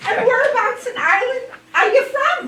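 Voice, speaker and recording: A woman does a put-on character voice, squeaky and pitched extremely high. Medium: stage play. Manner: gushing, exclamatory.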